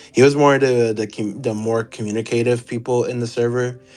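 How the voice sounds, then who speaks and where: With music playing in the background, the speech moves at a moderate pace with fairly even intonation. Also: man. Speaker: former server moderator. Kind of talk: interview. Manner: halting, with many fillers.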